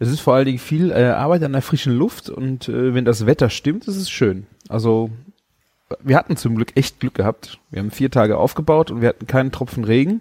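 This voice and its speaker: Dry and close with no echo, a man's medium-pitched voice has a dark, mellow tone at a fairly quick pace. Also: ordinary pitch variation. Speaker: podcast host and food blogger. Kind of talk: casual chat. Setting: video call.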